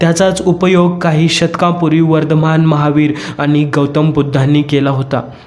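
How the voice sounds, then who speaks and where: A man speaks at a fairly high pitch in a flat monotone. Background noise is noticeable. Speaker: voice-over artist. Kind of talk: history narration.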